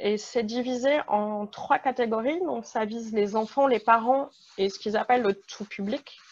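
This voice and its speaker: A normal speaking voice with ordinary pitch variation against a quiet background. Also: woman. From France. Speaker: panelist, museum community member. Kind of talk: presentation in online panel.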